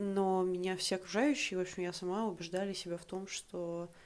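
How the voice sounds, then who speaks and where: A woman at medium pitch, fairly slow and fairly even in intonation, on a very clean recording with a silent background. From Russia, Saint Petersburg. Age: 20s. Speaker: podcast guest sharing personal story. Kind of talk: personal story monologue.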